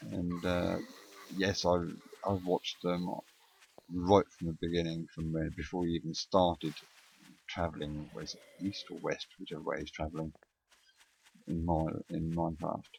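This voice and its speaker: Mumbling at a moderate pace, the speaker keeps a monotone, flat intonation and leaves long, frequent pauses. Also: man, very deep, low pitch for a man. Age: old. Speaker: gaming video creator. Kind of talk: let's play commentary. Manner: halting, many pauses and ums.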